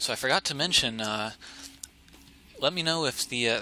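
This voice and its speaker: Soft-spoken male speech at a moderate pace and medium pitch, with music playing in the background. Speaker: esports caster. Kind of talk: live commentary. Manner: halting.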